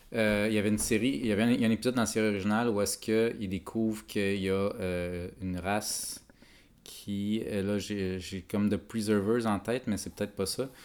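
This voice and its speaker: With monotone, flat intonation, a man speaks fairly quickly at a fairly low pitch. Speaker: podcast host. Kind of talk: casual chat.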